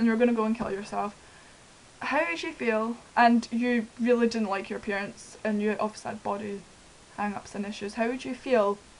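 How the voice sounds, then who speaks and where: Her pitch is fairly high and her intonation fairly even. The woman talks at a fairly quick pace. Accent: Scottish. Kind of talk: casual talk to camera.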